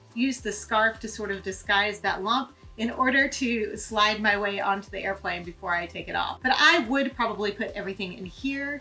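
A woman talks with hardly any pauses. Faint music plays in the background. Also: ordinary pitch variation, moderate pace. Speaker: travel tips vlogger. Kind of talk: tutorial. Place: home room.

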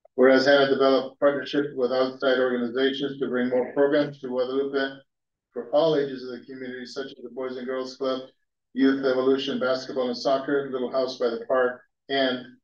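Against audible room echo, a man talks at a fairly quick pace in a monotone, flat intonation. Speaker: council member reading a proclamation. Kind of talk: formal proclamation reading. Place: hall. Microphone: podium.

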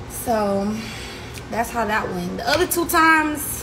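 Amid noticeable background noise, a woman talks at a moderate pace. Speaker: livestream host. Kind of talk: casual vlog chat. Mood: relaxed, joking. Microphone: phone near.

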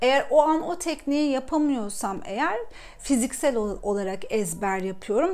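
Audible room echo surrounds a woman speaking at a fairly slow pace. Her pitch is high and her intonation lively. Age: 30s. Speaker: personal development coach, YouTuber. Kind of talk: personal talk to camera. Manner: halting, many fillers.

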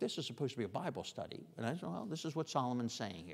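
A man speaks with vocal fry. The background is quiet. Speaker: preacher leading a Bible study. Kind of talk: sermon. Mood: prayerful, then explanatory. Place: church. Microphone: lapel.

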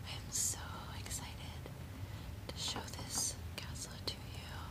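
A woman's voice amid loud background noise. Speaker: ASMR content creator. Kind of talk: ASMR toy tour, whispered sleep-aid narration.

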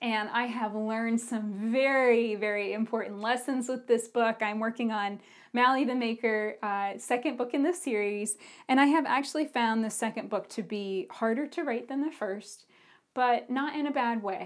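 A woman speaks in an unremarkable speaking voice, fairly high in pitch, with ordinary pitch variation. Her pace is moderate, and the background is quiet. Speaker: podcast host. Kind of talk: casual podcast talk. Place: home room. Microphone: lapel.

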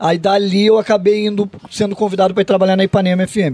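A man speaks at a high pitch. Faint music plays in the background. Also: dry sound with no echo. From southern Brazil, Rio Grande do Sul. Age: 50s. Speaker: radio sports journalist. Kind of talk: casual interview chat. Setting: studio. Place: studio. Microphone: studio mic.

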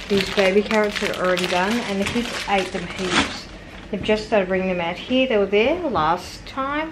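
Moderate-paced speech from a woman amid noticeable background noise. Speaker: family vlogger. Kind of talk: casual vlog chat. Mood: relaxed, slightly laughing. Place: kitchen. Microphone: phone near.

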